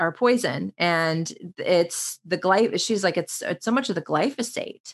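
An unremarkable speaking voice from a woman, fairly slow in pace, with lively intonation. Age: 40s. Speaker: yoga instructor. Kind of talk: casual chat.

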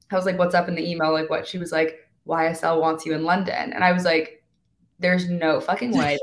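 A woman speaks with a fairly low pitch. Her tone is animated. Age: 20s. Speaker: TikTok influencer and model. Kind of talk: casual chat.

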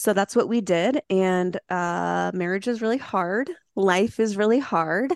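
With an ordinary speaking voice, a woman of medium pitch speaks at a fairly slow pace with ordinary pitch variation, the sound dry and close with no echo against a quiet background. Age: 30s. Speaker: mushroom supplement entrepreneur. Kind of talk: podcast interview.

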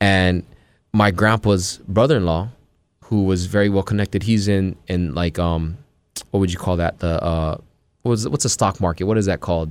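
In a very clean recording with a silent background, a man speaks at a moderate pace in a very deep, low voice, with ordinary pitch variation and very even loudness. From Hawaii. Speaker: rapper and actor. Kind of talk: casual podcast interview. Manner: animated, passionate.

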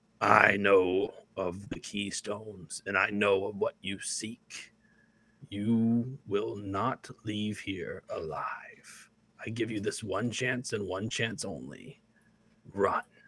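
A man's put-on character voice, raspy and fairly low, at a very slow pace. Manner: menacing, threatening.

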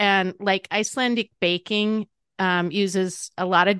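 A woman with an Upper Midwest accent, dry and close with no echo, against a quiet background. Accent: Upper Midwest American. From North Dakota, near the Manitoba border. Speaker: dietitian and cookbook author. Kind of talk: interview. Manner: animated.

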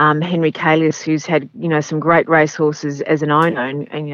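A woman with an Australian accent and a very deep, low pitch talks at a moderate pace. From Melbourne, Australia. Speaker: race caller. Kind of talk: interview. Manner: hesitant, fillers, chatty.

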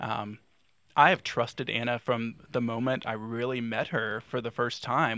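A man with an American accent, bright and sharp in tone, fairly even in intonation, on a very clean recording with a silent background. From North Carolina, Raleigh. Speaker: divinity graduate and counseling student. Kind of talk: casual conversation.

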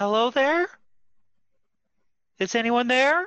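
In a put-on character voice, a man shouts in falsetto at an extremely high pitch. His intonation is lively. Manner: yelled out to check.

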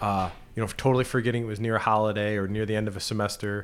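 A man speaks at a fairly low pitch with monotone, flat intonation. The recording is very clean, with a silent background. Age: 40s. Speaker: financial advisor. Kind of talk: casual chat. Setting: studio.

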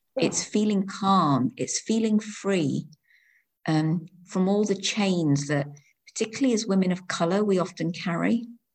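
This woman has an unremarkable speaking voice at a medium pitch, talking at a fairly slow pace with ordinary pitch variation. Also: very even loudness. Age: 50s. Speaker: education lecturer. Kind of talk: casual interview.

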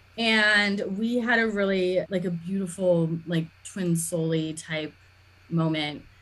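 A woman speaks at a very slow pace. Her pitch sits in the middle of her range and moves in an ordinary way. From US West Coast (Los Angeles). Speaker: astrologer and coach. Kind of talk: casual interview chat.

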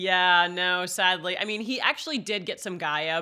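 A woman with an American accent, medium pitch, bright, sharp tone and lively intonation in a very clean recording with a silent background. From Maine, US (Bangor). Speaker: sommelier. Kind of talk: casual chat.

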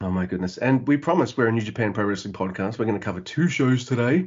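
Speaking very fast with lively intonation, a man at medium pitch makes big swings in loudness. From Australia. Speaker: podcast host. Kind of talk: casual chat. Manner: fast talker.

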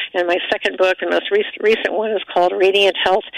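A woman's medium-pitched, monotone, flat delivery at a fairly quick pace, with noticeable background noise. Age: 60s. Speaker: physician and former surgeon. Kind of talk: radio interview.

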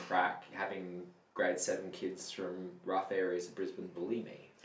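A man's plain, everyday voice, with ordinary pitch variation at a moderate pace. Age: 30s. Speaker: band member. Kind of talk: casual chat.

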